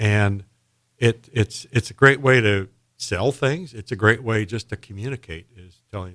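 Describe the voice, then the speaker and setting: A man with an American accent and a normal speaking voice talks at a fairly slow pace in a fairly low pitch with ordinary pitch variation, on a very clean recording with a silent background. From Indiana, US Midwest. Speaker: storytelling event organizer. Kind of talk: casual radio interview.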